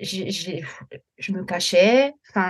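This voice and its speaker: A woman speaks at medium pitch. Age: 40s. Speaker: teacher, weight-loss coaching client. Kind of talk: casual interview, personal testimony. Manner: halting, many repetitions and fillers.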